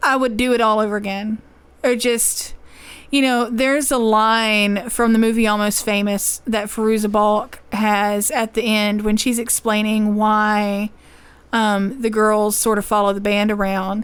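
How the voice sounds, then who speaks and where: A woman with an American accent, a fairly slow pace, monotone, flat intonation and very even loudness. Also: fairly high pitch for a woman. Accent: Southern US, getting thicker. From Louisiana. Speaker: podcast co-host. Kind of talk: casual chat.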